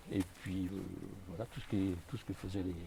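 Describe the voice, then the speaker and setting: A man with a dark, mellow, somewhat breathy tone speaks at a moderate pace. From Brittany, France (Ille-et-Vilaine). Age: 70s. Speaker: local historian, retiree. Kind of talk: casual chat, guided walking tour.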